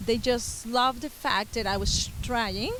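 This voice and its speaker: A woman with a Venezuelan accent, fairly high in pitch, fairly slow, with ordinary pitch variation. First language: Spanish. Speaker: musician and Spanish teacher. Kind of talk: interview.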